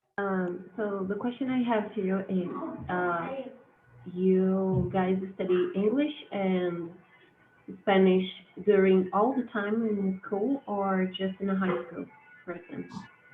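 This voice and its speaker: A very slow delivery in a Portuguese accent, with fairly even intonation and long, frequent pauses. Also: woman, medium pitch for a woman. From Brazil. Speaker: university student. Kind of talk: casual chat. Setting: video call.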